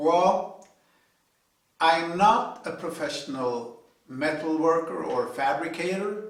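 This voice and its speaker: A man with a non-native accent, fairly high-pitched, very slow, with ordinary pitch variation and audible room echo. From Sweden. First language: Swedish. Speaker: hobby car and trailer builder. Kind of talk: video tutorial intro. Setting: home garage. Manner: hesitant, many fillers.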